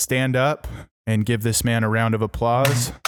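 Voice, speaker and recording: In a very clean recording with a silent background, a man speaks at a fairly slow pace and medium pitch. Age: 30s. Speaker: podcast host. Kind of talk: casual chat.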